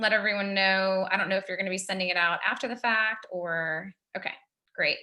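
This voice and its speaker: Using a normal speaking voice, a woman talks at a fairly quick pace with medium pitch and fairly even intonation. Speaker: recruiting company founder and mentor. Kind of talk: webinar Q&A on resumes. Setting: video call.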